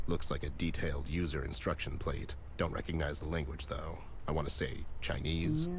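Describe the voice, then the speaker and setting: Over clear background noise, a man puts on a character voice and talks at a moderate pace. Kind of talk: hard-boiled noir detective. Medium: game stream. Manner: dry, deadpan.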